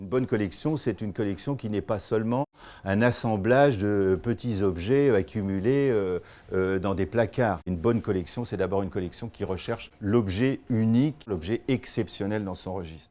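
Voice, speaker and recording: In a quiet background, a man speaks with a fairly low pitch and a dark, mellow tone. His pitch varies in an ordinary way. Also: moderate pace. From France. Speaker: fine art auctioneer. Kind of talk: interview answer.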